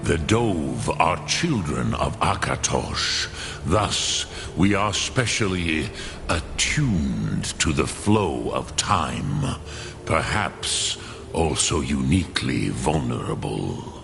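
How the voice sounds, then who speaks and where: A put-on character voice speaks at a very slow pace. Loud background noise fills the recording. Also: man. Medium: machinima. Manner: slow, measured, archaic.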